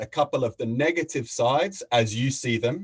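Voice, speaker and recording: The woman's voice is a little breathy and rather high. She keeps a moderate pace. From Australia. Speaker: facilitator and mediator. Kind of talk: talk. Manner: halting.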